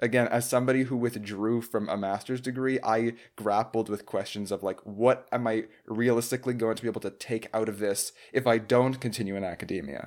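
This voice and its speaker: Fairly quick speech comes from a man with a normal speaking voice. His pitch sits at medium, with fairly even intonation. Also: very clean recording, silent background. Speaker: podcast host. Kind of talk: casual interview.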